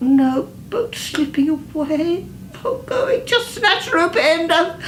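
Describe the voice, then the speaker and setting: A woman does a put-on character voice, breathy and extremely high, with very wide pitch swings. She goes at a very slow pace over clear background noise. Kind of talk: poetic literary reading. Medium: read story. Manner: breathy, rhythmic, gasping.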